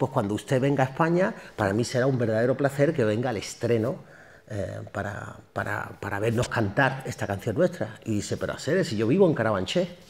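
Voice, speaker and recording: Somewhat breathy, a man at medium pitch speaks at a fairly quick pace with lively intonation. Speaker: singer and actor. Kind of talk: public talk interview. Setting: university auditorium with audience. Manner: fast; animated.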